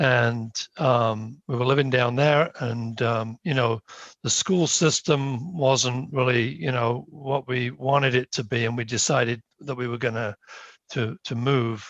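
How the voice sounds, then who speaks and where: A man speaks in a British accent. His pace is fairly slow. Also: medium pitch for a man, ordinary pitch variation. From United Kingdom. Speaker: town planning board member. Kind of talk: self-introduction at a meeting. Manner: hesitant, many fillers.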